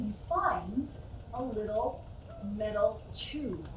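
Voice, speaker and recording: A woman's voice with lively intonation amid noticeable background noise. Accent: American. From Utah. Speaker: storyteller. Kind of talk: ghost story telling.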